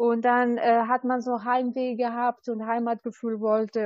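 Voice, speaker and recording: A woman with an Albanian accent, fairly high in pitch, at a moderate pace. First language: Albanian (speaking German). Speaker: recognition counselor. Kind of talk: interview.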